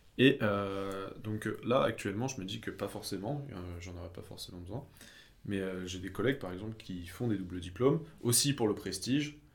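At a moderate pace, a man talks in a fairly low, somewhat breathy voice with ordinary pitch variation and big swings in loudness. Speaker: engineering student. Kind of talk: casual chat.

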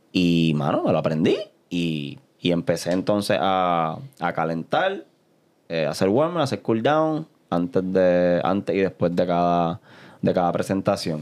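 At a fairly slow pace, a man with a very deep, low pitch speaks with very even loudness and ordinary pitch variation over a quiet background. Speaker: beatboxer. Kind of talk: interview.

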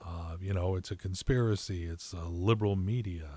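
A somewhat breathy man with a dark, mellow tone is heard on a very clean recording with a silent background. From California. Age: 60s. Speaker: podcast co-host. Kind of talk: casual chat.

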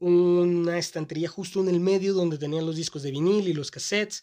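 On a very clean recording with a silent background, a man with a Mexican accent talks at a moderate pace, his pitch high and his intonation fairly even. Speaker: podcast host. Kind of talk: solo podcast monologue.

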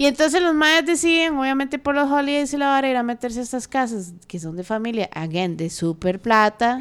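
In a very clean recording with a silent background, a woman with a high voice talks at a fairly quick pace, her pitch swinging very widely, with hardly any pauses. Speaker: podcast co-host. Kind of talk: casual chat.

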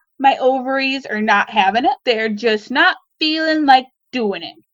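In a Midwestern American accent, a woman speaks at a high pitch. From US Midwest. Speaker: baker and small business owner. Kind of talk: interview storytelling. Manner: animated.

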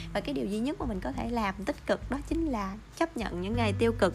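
A woman speaks with music in the background. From Vietnam, island district. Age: 20s. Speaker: podcast host. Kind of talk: casual advice monologue.

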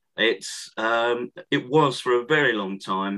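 Speaking with a southern English accent, a man uses a medium pitch with ordinary variation. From Essex, southeast England. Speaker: author and historian. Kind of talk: interview. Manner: halting.

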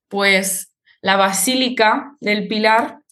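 Audible room echo surrounds a woman's voice. Her pitch is medium, with ordinary variation. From Spain, Zaragoza (Aragón). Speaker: Spanish teacher. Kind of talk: interview.

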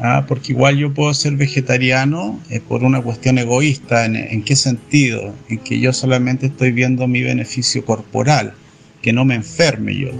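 He speaks with a plain, everyday voice and fairly even intonation. The man's pitch is medium and his pace moderate. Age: 60s. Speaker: Hare Krishna devotee. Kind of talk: interview.

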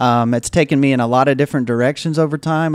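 A man speaks at medium pitch with a Mississippi accent. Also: very clean recording, silent background. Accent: Southern US (Mississippi). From US South, Jackson, Mississippi. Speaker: anti-racism nonprofit leader. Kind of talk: interview.

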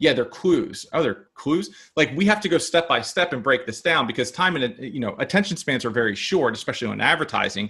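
A man with an American accent, fairly high in pitch, bright and sharp in tone with vocal fry, at a fairly quick pace with hardly any pauses and very wide pitch swings, over a quiet background. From Maryland, US. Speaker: entrepreneur, company founder. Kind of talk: interview. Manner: halting, many fillers and repetitions.

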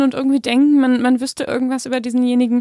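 This woman's pitch is high. She talks at a fairly quick pace. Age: 20s. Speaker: podcast host, psychotherapist. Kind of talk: casual chat.

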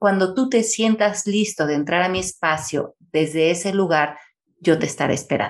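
A woman's unremarkable speaking voice at medium pitch and moderate pace, with ordinary pitch variation. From Mexico City. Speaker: author and speaker. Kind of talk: conversational interview.

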